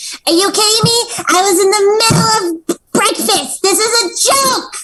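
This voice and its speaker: An extremely high, squeaky put-on character voice moves along at a moderate pace. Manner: incredulous, annoyed.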